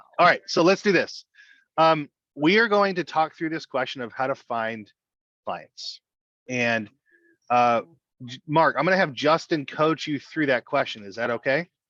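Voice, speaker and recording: With an American accent, a man talks at a moderate pace in a bright, sharp tone with lively intonation and long, frequent pauses. The sound is dry and close with no echo, over a quiet background. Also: fairly high pitch for a man. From Southern California. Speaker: financial coaching director. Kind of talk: webinar hosting.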